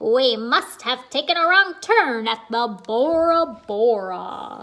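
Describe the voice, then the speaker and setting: Putting on a loud character voice, a woman speaks at a fairly slow pace with a high pitch. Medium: read story. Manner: loud, blustery pirate talk.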